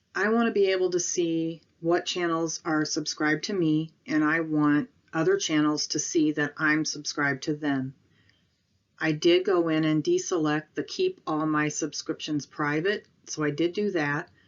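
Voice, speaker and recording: In a Minnesotan accent, a woman talks with a very deep, low pitch and fairly even intonation. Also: moderate pace. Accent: sounds Minnesotan. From northern Illinois, farm town south of Chicago. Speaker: YouTuber, retail investor. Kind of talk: casual vlog.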